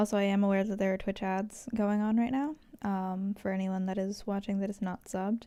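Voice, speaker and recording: Soft-spoken and fairly quick, a woman talks at a medium pitch with fairly even intonation and a dark, mellow tone. The recording is very clean, with a silent background. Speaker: livestreamer. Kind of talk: casual chat. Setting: live stream. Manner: quiet today.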